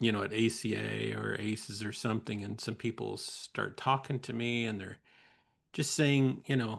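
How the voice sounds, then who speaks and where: Using vocal fry, a man speaks at a medium pitch and moderate pace with fairly even intonation. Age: 60s. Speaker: podcast host, counselor educator. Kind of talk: casual conversation. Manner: halting, many false starts.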